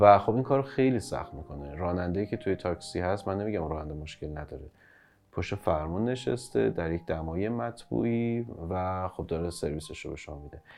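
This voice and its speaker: A man's very deep, low voice at a fairly quick pace, with lively intonation and big swings in loudness. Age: 30s. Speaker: startup founder and CEO. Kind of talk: interview. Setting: studio.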